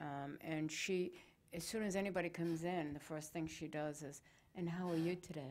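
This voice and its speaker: A woman speaks at a moderate pace and a fairly low pitch with fairly even intonation. It is a plain, everyday voice. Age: 60s. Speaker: talk show host. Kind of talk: casual interview chat.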